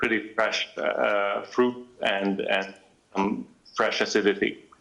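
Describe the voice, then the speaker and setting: A man speaks in a Hungarian accent at a fairly slow pace. Noticeable background noise can be heard behind him. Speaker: wine expert. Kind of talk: wine tasting talk. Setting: live video link. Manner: hesitant, many fillers.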